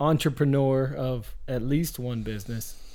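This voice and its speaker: A man with an American accent at a very slow pace, amid audible room echo. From Pennsylvania, Oil City area. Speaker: podcast host. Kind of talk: casual interview chat.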